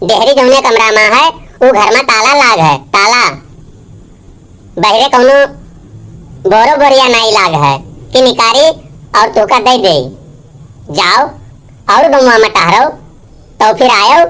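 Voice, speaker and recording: A cartoonish character voice from a woman, fairly high in pitch, with very even loudness, a moderate pace and long, frequent pauses. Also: lively intonation. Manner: scolding, blunt.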